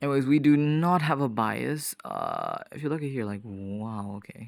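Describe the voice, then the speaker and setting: A man with a plain, everyday voice, fairly high in pitch, at a moderate pace with ordinary pitch variation and big swings in loudness. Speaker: trading vlogger. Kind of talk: casual screen-recorded trading commentary. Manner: casual, thinking aloud.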